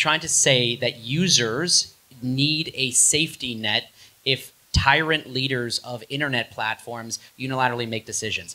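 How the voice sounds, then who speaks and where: A man with an American accent has a plain, everyday voice. It sits at medium pitch with ordinary pitch variation. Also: moderate pace. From Buffalo, New York, US. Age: 30s. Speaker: tech startup founder. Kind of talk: talk with Q&A at a meetup.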